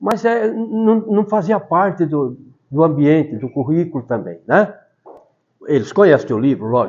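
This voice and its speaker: A man with a high pitch at a fairly slow pace. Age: 70s. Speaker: retired teacher and author. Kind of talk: talk to school students. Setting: school classroom with audience. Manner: conversational, with hesitations.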